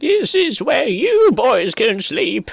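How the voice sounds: A put-on character voice at extremely high pitch.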